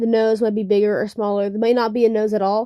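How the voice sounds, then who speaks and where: A fairly quick, monotone delivery with flat intonation and a dark, mellow tone. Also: woman. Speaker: digital artist. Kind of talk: casual draw-with-me commentary. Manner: halting, many fillers; unscripted, casual.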